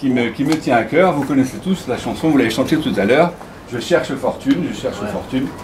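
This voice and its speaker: Talking at a fairly quick pace, a man has a fairly high pitch and ordinary pitch variation. Audible room echo and noticeable background noise surround him. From Morocco (Casablanca). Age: 60s. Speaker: former scout leader. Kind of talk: nostalgic storytelling at a gathering. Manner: hesitant with fillers.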